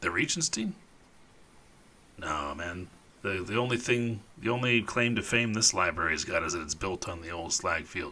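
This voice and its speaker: Putting on a character voice, a man speaks raspy and fairly low at a moderate pace, with long, frequent pauses. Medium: actual play. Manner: casual, rambling, filler-heavy.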